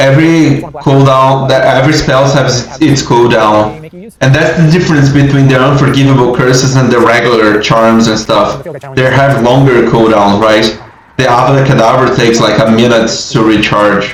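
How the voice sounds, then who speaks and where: A man with a non-native accent, medium pitch, fairly even intonation and very even loudness at a moderate pace, amid noticeable background noise and audible room echo. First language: not English. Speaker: gaming streamer. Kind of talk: live gameplay commentary. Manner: casual, halting.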